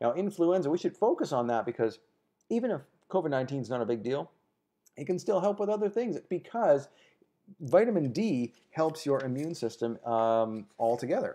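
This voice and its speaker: With a dark, mellow tone and a fairly high pitch, a man's voice makes very wide pitch swings. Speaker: wellness show host. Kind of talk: casual health talk show. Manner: fast.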